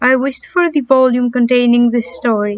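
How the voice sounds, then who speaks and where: Here a woman speaks with a Greek accent at a high pitch. Her intonation is fairly even and her pace moderate. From Greece. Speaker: amateur audiobook reader. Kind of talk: audiobook reading of a horror story.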